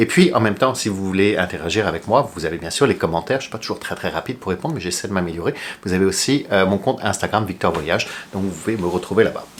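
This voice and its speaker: Speaking very fast, a man uses a very deep, low pitch with ordinary pitch variation. Noticeable background noise sits behind him. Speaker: flight attendant YouTuber. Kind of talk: casual tutorial. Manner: unedited, with hesitations.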